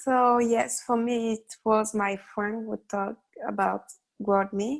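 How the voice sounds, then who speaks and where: A woman speaks in a French accent. Her pace is very slow. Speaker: international student ambassador. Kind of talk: group discussion. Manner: hesitant.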